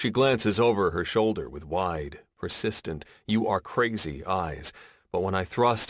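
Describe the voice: Lively intonation in plain reading aloud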